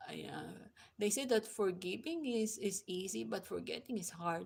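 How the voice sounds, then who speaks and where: A woman with a non-native accent speaks at a moderate pace and medium pitch, her lively intonation touched with vocal fry. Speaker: YouTuber. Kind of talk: live stream chat. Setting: live stream. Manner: halting, many fillers.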